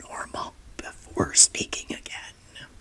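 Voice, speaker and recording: Whispering at a very slow pace, a woman is heard in a dry, close sound with no echo. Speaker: podcast host, psychologist. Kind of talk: podcast monologue.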